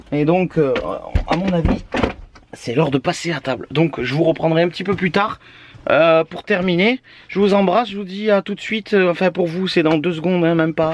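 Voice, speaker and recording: There is noticeable background noise as a man talks at a moderate pace in a high pitch. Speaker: family vlogger. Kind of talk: casual vlog talk. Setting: in a camper van. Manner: hesitant.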